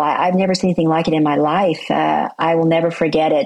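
A woman with a plain, everyday voice, fairly low pitch, fairly even intonation, and a fairly quick pace. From US South, Oklahoma. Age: 60s. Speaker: motivational speaker and author. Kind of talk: interview.

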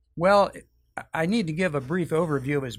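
A man speaks in an ordinary speaking voice. His pace is moderate and his pitch variation ordinary. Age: 60s. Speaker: church member sharing testimony. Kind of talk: testimony.

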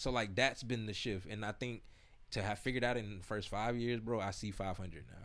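A man with an American accent and an ordinary speaking voice talks at a fairly quick pace, his fairly low pitch following a fairly even intonation. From South Florida (Broward County). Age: 30s. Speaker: hip-hop artist and entrepreneur. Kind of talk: casual interview chat.

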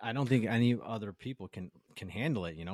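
The recording of this man is dry and close, with no echo. His pitch varies in an ordinary way. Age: 40s. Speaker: home builder, podcast co-host. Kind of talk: casual chat.

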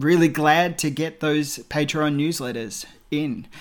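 The speaker has an Australian accent and fairly even intonation. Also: man. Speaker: film podcaster. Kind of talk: recorded tribute message.

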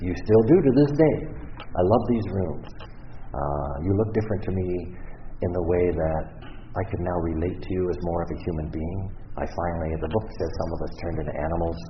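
Man with a Canadian accent, very deep, low pitch, ordinary pitch variation and a moderate pace. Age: 60s. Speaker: recovery speaker. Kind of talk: testimony. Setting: stage with audience.

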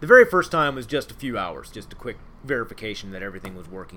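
A man with an American accent speaks at a very fast pace and medium pitch. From Ohio, Cincinnati. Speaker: naval officer. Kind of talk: interview, role-played in first person as a submarine; casual interview about own career.

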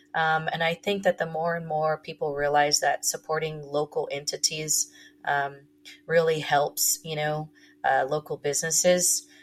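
Speaking in a monotone with flat intonation, a woman with an American accent sounds somewhat breathy at a very deep, low pitch. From Texas (Corpus Christi). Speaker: tequila company co-founder. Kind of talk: interview.

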